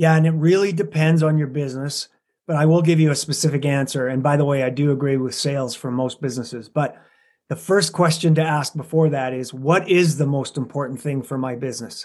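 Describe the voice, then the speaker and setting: A man with a Canadian accent has a normal speaking voice at a fairly high pitch. He talks at a fairly quick pace with fairly even intonation. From Alberta, Canada. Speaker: business consultant and coach. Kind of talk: interview.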